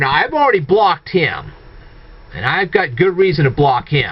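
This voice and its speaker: A man's high pitch at a moderate pace, with noticeable background noise. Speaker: video blogger. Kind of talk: monologue rant to viewers. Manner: halting, self-correcting.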